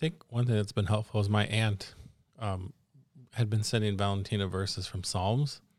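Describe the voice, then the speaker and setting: With an American accent and an unremarkable speaking voice, a man talks at a moderate pace and fairly low pitch, his intonation fairly even but his loudness swinging widely, in a very clean recording with a silent background. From Arizona, US. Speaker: husband of refugee volunteer. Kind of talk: interview.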